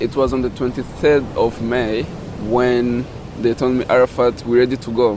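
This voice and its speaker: A man's flat, monotone delivery at a moderate pace against noticeable background noise. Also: medium pitch for a man. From DRC Congo, Rutshuru area. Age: 20s. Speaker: refugee and open-water swimmer. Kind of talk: interview. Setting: outdoors on a windy beach. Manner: halting.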